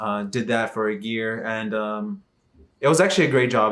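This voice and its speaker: Here a man with a Texan accent speaks at a medium pitch. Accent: Texan American English. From Texas, Dallas. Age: 20s. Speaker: vlogger. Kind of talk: casual vlog monologue. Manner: hesitant, many fillers.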